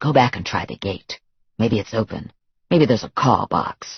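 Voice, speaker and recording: A man's growling, put-on character voice, medium in pitch, at a moderate pace, with ordinary pitch variation and big swings in loudness. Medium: read story. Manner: curt, commanding.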